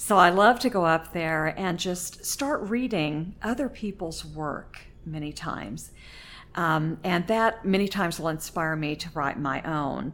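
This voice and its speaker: A plain, everyday voice, a woman's at a fairly low pitch, with lively intonation and a fairly slow pace. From Oklahoma. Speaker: poet, retired English teacher. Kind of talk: interview.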